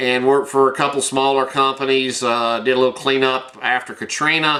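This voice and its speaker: A man with a Tennessee accent at a medium pitch and moderate pace. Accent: Southern US (Tennessee). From US South, rural Tennessee. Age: 60s. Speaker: high school science teacher and vlogger. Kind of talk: casual personal bio monologue. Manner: halting, many fillers.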